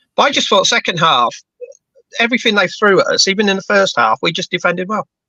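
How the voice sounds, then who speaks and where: Raised and projected, a man's high voice races along at a very fast pace with lively intonation in a dry, close sound with no echo. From London / Bedfordshire, England. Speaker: football fan pundit. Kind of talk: casual chat.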